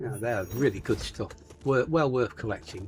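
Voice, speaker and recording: A man with an English accent speaks at a fairly slow pace and medium pitch. Music plays in the background. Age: 70s. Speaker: gaming YouTuber. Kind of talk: gameplay commentary. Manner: casual, chatty.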